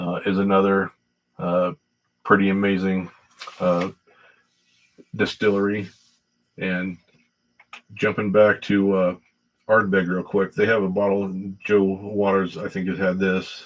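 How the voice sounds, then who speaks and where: Slow-paced and flat, a man speaks in a monotone at a fairly low pitch, with long, frequent pauses. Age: 60s. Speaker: whiskey livestreamer. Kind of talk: casual livestream chat. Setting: livestream on laptop camera. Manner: halting, many fillers.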